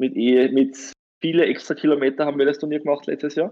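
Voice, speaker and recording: The speaker is a man. His pitch sits fairly high. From Austria, Styria. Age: 30s. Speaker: lawyer and tournament organizer. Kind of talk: interview.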